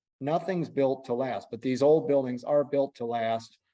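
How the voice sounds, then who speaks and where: With a dark, mellow tone, a man speaks at a moderate pace and with ordinary pitch variation. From US North, Michigan. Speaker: businessman and building restorer. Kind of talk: podcast interview.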